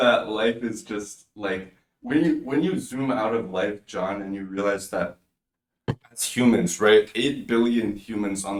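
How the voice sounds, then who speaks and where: A man speaks at a fairly slow pace with a fairly low pitch and a normal speaking voice. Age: 20s. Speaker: podcast host. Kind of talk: casual chat.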